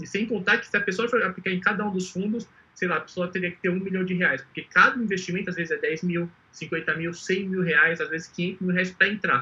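This man's voice is raised and projected, with a high pitch. His tone is bright and sharp, and his pace fairly quick. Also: fairly even intonation. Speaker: entrepreneur pitching an investment startup. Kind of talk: startup pitch presentation. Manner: fast; clear.

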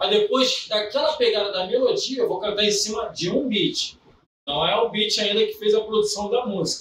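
Here a man speaks with a high pitch. His pitch varies in an ordinary way. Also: moderate pace. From Belford Roxo, Rio de Janeiro, Brazil. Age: 30s. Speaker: funk MC. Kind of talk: casual chat.

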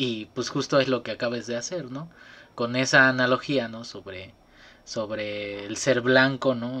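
Bright and sharp in tone, a man's medium-pitched voice moves at a fairly slow pace with ordinary pitch variation. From Veracruz, Mexico. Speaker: student podcast host. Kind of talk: casual chat. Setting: video call. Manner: animated.

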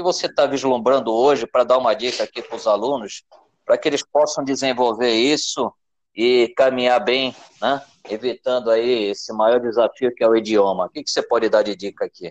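The sound is dry and close, without any echo. A normal speaking voice moves along at a fairly quick pace, its pitch varying in an ordinary way. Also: man. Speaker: podcast host, project management teacher. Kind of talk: interview.

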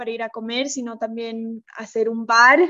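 A woman's fairly high voice at a fairly slow pace. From Bolivia, La Paz. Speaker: chef and restaurant owner. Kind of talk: interview.

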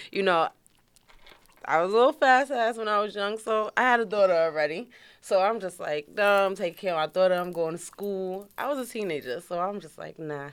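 A woman with a New York accent, lively intonation and big swings in loudness. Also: medium pitch for a woman, fairly quick pace. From New York, Queens (Far Rockaway). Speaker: widow of a rapper. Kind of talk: interview, personal story.

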